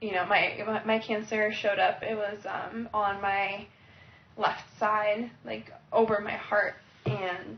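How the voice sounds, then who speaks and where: A woman at a medium pitch speaks very slowly in a monotone with flat intonation. Noticeable noise sits in the background. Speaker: cancer survivor. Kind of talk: testimony.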